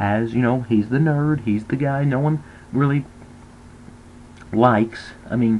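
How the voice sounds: A man talks slowly at a medium pitch with ordinary pitch variation.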